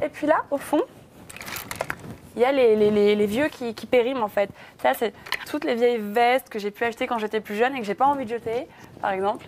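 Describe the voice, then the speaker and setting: Noticeable background noise sits under a woman's fairly high voice, which is broken by long, frequent pauses. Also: ordinary pitch variation, fairly quick pace. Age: 20s. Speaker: fashion blogger showing her wardrobe. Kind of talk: casual chat. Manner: hesitant, many fillers.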